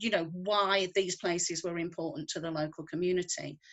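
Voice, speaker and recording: A woman's medium-pitched voice with a northwest English accent. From northwest England. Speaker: conservationist. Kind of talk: interview.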